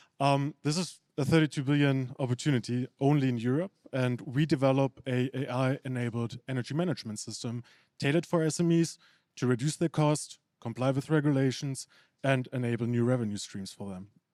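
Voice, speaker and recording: A man's dark, mellow voice in a German accent, medium in pitch with ordinary variation, fairly quick, dry and close with no echo. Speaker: startup founder. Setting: stage with audience.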